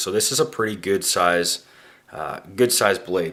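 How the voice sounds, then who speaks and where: A man with a Canadian accent talks at a moderate pace. His pitch is fairly low, with ordinary pitch variation. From Canada. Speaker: knife reviewer, YouTuber. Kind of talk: product review. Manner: casual, many fillers (uh, um).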